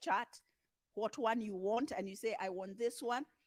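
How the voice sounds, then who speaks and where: An unremarkable speaking voice at a moderate pace with ordinary pitch variation. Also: woman. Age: 60s. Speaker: panel speaker. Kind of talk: panel talk.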